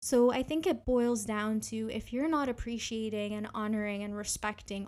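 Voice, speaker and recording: Here is an ordinary speaking voice with a Canadian accent. The intonation stays fairly even. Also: woman. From Canada, Ontario. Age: 20s. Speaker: podcast host and graduate student. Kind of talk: solo podcast monologue.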